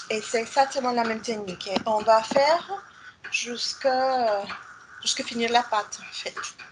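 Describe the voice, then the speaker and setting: A woman with a Spanish accent speaks at a fairly slow pace in a high voice, with ordinary pitch variation, big swings in loudness, and noticeable background noise. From Mexico. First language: Spanish (speaking French). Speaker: chef; guest lecturer. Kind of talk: lecture. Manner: halting. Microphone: video call.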